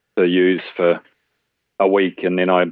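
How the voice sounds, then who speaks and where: In a New Zealand accent, a man speaks with a very deep, low pitch and monotone, flat intonation. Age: 40s. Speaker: person with type 1 diabetes. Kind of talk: casual interview. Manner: halting, many fillers.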